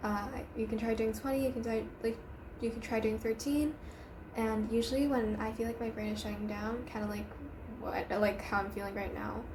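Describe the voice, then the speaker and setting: A woman talking at a fairly quick pace, with audible room echo and noticeable background noise. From Asia. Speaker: student vlogger. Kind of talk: casual advice vlog. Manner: casual, filler-heavy.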